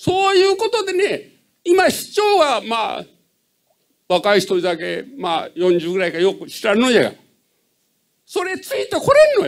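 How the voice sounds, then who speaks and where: A man in a Hiroshima accent speaks at a moderate pace with an extremely high pitch and very wide pitch swings. He leaves long, frequent pauses against a quiet background. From Japan. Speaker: citizen asking question. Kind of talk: audience question at public meeting. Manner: halting. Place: hall.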